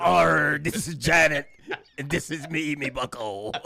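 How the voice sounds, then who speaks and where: A man's raspy, put-on character voice, fairly high in pitch, at a moderate pace. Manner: playful, joking.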